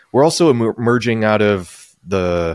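In a dry, close sound with no echo, a man with a normal speaking voice and fairly low pitch talks at a moderate pace with ordinary pitch variation. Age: 40s. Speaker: pastor and podcast host. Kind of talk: interview conversation; podcast intro.

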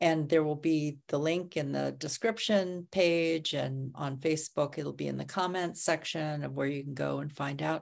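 A woman speaks at a moderate pace with a very deep, low pitch, fairly even intonation and hardly any pauses, on a very clean recording with a silent background. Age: 60s. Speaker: podcast host. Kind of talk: casual interview, live stream. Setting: Facebook Live stream.

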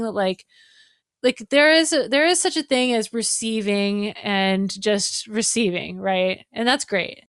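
With a normal speaking voice, a woman talks at a fairly slow pace with fairly high pitch and lively intonation, in a very clean recording with a silent background and a dry, close sound with no echo. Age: 40s. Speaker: violinist and live show designer. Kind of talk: casual interview.

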